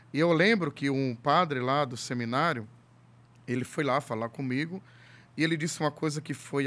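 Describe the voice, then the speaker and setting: This man moves along at a moderate pace. His fairly high voice rises and falls with lively intonation. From Ceará, Brazil (Fortaleza area); Ceará, Brazil. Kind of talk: casual chat. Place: studio. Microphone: studio mic.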